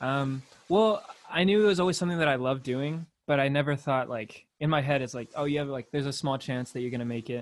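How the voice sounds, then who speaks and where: Talking at a very fast pace in a Californian accent, a man speaks at a fairly high pitch with ordinary pitch variation. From California, Torrance. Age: 20s. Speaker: independent musician. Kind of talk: casual chat.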